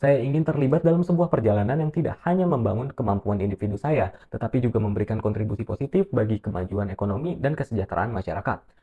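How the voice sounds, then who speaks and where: In a dry, close sound with no echo, a man with a dark, mellow tone and a somewhat breathy voice talks at a very fast pace with lively intonation and hardly any pauses. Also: medium pitch for a man. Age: 20s. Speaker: university student. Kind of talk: self-introduction video, read script. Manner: formal.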